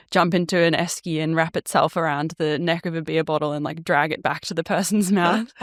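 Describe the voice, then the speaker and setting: A woman with an Australian accent speaks at a moderate pace and a very deep, low pitch. The sound is dry and close with no echo, in a very clean recording with a silent background. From Australia, Melbourne. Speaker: 3D artist and motion designer. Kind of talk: podcast interview.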